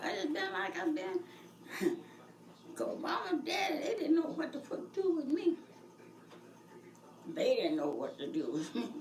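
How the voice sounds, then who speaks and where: An extremely high-pitched woman's voice with very wide pitch swings, a moderate pace and long, frequent pauses. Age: 80s+. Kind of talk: interview answer.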